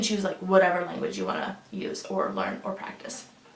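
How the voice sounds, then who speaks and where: There is noticeable background noise behind this recording. A woman speaks at a fairly quick pace. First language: Russian. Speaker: lifestyle vlogger. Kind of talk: casual vlog walkthrough. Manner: casual with frequent fillers.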